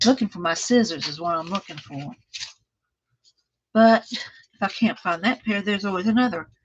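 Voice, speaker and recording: A woman with a Texan accent speaks in a somewhat breathy voice, with ordinary pitch variation and long, frequent pauses. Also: medium pitch for a woman, moderate pace, big swings in loudness. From Texas, small town east of Dallas. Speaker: craft livestreamer. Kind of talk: casual craft tutorial livestream.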